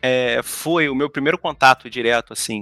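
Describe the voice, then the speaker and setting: In a Brazilian accent, a man speaks at a medium pitch and moderate pace with ordinary pitch variation, the sound dry and close with no echo and music in the background. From Brazil, São Gonçalo, Rio de Janeiro. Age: 30s. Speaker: museum worker, former history teacher. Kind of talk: podcast interview. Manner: halting, many repetitions.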